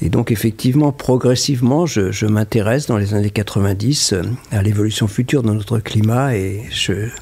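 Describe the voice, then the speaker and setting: A man speaks in a fairly low pitch. His pitch varies in an ordinary way, with noticeable background noise behind him. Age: 70s. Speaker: glaciologist, climate scientist. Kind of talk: interview answer.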